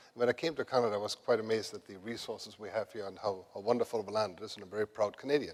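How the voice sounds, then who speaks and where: A man talks at a very fast pace with hardly any pauses, at a fairly low pitch. His intonation is fairly even, while his loudness swings widely. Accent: German. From Germany. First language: German. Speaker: renewable energy executive. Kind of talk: conference panel talk.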